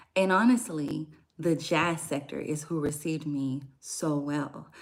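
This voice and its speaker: A soft-spoken woman with an American accent and a very deep, low pitch talks at a fairly slow pace with ordinary pitch variation, on a very clean recording with a silent background. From Louisiana, near New Orleans. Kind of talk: casual livestream talk.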